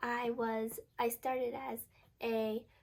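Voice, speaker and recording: A fairly high pitch marks this voice. It belongs to a woman. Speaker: vlogger. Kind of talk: casual chat. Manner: chatty, casual.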